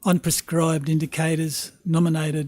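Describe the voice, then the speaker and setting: A man talks with fairly high pitch in a somewhat breathy voice. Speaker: council staff presenter. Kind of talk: formal report presentation. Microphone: microphone moved close.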